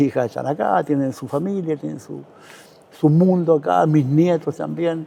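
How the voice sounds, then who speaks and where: This man talks in a Chilean accent at a moderate pace. His pitch is fairly high and varies in an ordinary way. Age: 70s. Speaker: retired football goalkeeper and coach. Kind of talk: interview. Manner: hesitant, repeats words.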